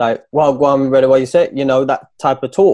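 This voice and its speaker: Talking at a fairly quick pace, a man with an East Midlands accent has medium pitch and ordinary pitch variation. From Nottingham, England. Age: 30s. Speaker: footballer and coach. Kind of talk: casual chat.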